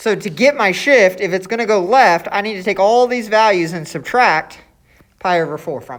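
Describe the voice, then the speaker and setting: A woman's pitch varies in an ordinary way as she speaks at a moderate pace. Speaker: math teacher. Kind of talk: lecture.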